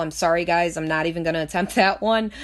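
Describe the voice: Fast-paced speech with ordinary pitch variation. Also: woman.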